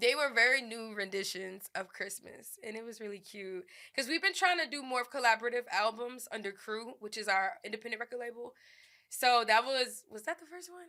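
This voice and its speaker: Lively and fairly quick, a woman speaks in a New Orleans accent at fairly high pitch. Her tone is bright and sharp, and her loudness swings widely. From New Orleans, Louisiana. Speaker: rapper and songwriter. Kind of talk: interview answer.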